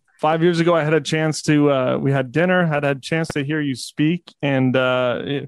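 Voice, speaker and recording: A man with a plain, everyday voice at a fairly high pitch, fairly even intonation and a quiet background. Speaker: podcast co-host. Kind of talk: interview.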